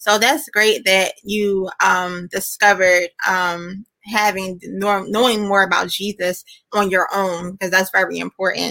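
A woman speaks at a fairly slow pace with hardly any pauses, her pitch medium and her intonation fairly even. The sound is dry and close, with no echo. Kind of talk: casual interview.

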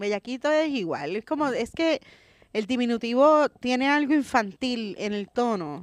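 Dry and close with no echo over a quiet background, a woman speaks high and fairly slowly with lively intonation. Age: 40s. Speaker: comedian. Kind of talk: casual chat. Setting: outdoors in a park.

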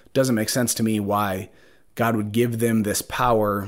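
On a very clean recording with a silent background, a man with an Upper Midwest accent speaks at a fairly slow pace, with a fairly low pitch and fairly even intonation. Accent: Upper Midwest American. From Minnesota, Twin Cities suburbs. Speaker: podcast host. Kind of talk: solo monologue, reflective and faith-based. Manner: hesitant, many fillers.

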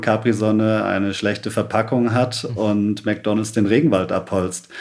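A man speaks at a moderate pace with ordinary pitch variation and a fairly low pitch. Noticeable background noise runs under his voice. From Stuttgart area, Germany (born in Sri Lanka, moved at four). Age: 30s. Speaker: environmental activist, founder of a cleanup network. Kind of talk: podcast interview.

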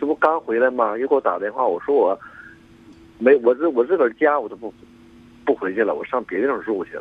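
Though his pace is very fast, this man takes long, frequent pauses, with medium pitch and ordinary pitch variation. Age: 60s. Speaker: caller. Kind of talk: phone-in conversation. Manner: halting.

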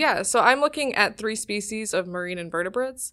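A bright, sharp tone with an American accent on a very clean recording against a silent background. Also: woman. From Ohio, US Midwest. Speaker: undergraduate researcher. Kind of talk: casual interview. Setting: studio around a table.

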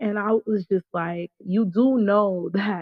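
A woman talks in a New York accent. Her pitch is medium, with ordinary variation. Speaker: caller. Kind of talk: casual chat. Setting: live call-in.

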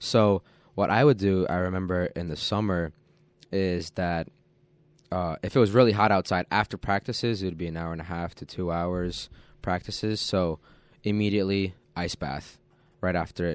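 The speech moves at a moderate pace with long, frequent pauses. The recording is very clean with a silent background, dry and close with no echo. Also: man, very deep, low pitch for a man. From US, child of Polish immigrants. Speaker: college soccer player. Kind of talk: radio interview. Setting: radio studio.

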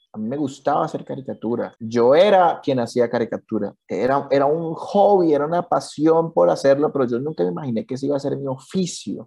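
A man talks fairly quickly with hardly any pauses, his voice fairly high-pitched yet dark and mellow. His intonation is lively. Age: 30s. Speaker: cartoonist. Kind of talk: interview.

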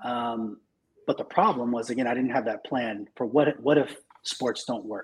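A man with an American accent and an ordinary speaking voice, medium pitch, fairly even intonation and a moderate pace. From California (Marina, Monterey area). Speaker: tech recruiting leader. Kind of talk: interview.

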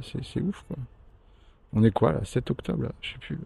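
A man's dark, mellow voice with vocal fry, at a very fast pace. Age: 50s. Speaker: hospitalized patient and podcaster. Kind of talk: personal audio diary. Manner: hesitant, many fillers.

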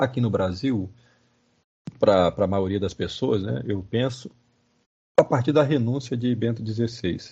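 With vocal fry and lively intonation, a man speaks at medium pitch and a fairly slow pace. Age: 50s. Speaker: professor. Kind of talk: lecture-style interview. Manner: halting, many fillers.

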